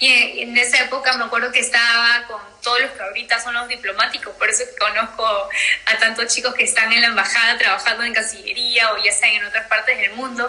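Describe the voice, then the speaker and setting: A woman with a fairly high pitch talks in a monotone, flat intonation with hardly any pauses against noticeable background noise. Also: fairly quick pace. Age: 30s. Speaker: TV host and activist. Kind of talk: interview. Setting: live video stream.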